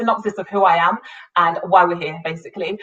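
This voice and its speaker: A woman speaks with a British accent. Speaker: business coach and entrepreneur. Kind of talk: live-streamed business talk. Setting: live online video stream.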